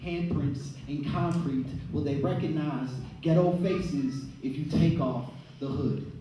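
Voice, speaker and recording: Over noticeable background noise, a man with an American accent speaks at a fairly slow pace and fairly high pitch, his intonation fairly even. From Chicago. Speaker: poet. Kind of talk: spoken word poetry performance.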